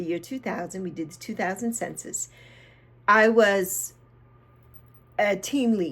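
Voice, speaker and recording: Long, frequent pauses break up a woman's fairly slow delivery, her medium-pitched voice carrying vocal fry. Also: ordinary pitch variation. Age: 60s. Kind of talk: casual talk to camera. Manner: mellow.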